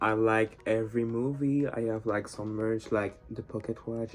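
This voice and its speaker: A man with a non-native accent speaks at a medium pitch in a monotone, flat intonation while music plays in the background. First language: not English. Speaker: YouTuber, fan commentator. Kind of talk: casual monologue. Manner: casual, filler-heavy.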